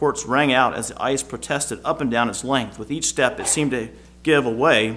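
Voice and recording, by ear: The pitch varies in an ordinary way as someone is reading aloud in a natural voice.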